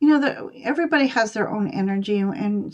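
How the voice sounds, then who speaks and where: Lively intonation from a woman at medium pitch, with a fairly quick pace. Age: 60s. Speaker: tarot reader. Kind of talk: live stream reading chat. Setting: live stream. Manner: halting, many fillers.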